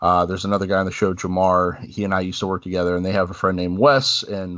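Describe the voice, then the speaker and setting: A man with a very deep, low voice at a very fast pace. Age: 30s. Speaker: wrestling podcast host. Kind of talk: casual chat.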